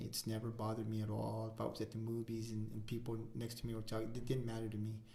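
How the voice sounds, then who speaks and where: A man with an American accent talks at a very fast pace in a medium pitch, with audible room echo around him. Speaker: podcast co-host. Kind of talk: casual chat. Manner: halting, many fillers.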